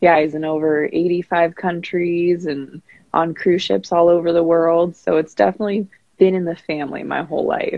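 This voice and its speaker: A woman with a normal speaking voice talks in an American accent at a fairly low pitch. Her pace is moderate and her intonation fairly even. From US West Coast, San Diego. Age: 20s. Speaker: painter. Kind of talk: casual interview.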